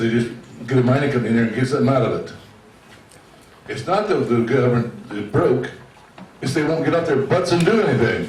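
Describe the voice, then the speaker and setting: Very fast speech with lively intonation and long, frequent pauses, amid audible room echo and noticeable background noise. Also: man. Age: 70s. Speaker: retiree speaking at public meeting. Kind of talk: public meeting comment.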